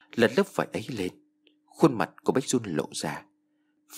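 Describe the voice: The speaker reads plainly aloud against a quiet background.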